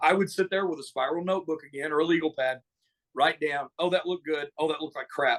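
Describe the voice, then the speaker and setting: A man with an American accent talks at a very fast pace. His pitch is fairly high and his intonation fairly even. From Wisconsin, US Midwest. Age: 50s. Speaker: pro wrestler and promoter. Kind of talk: casual interview.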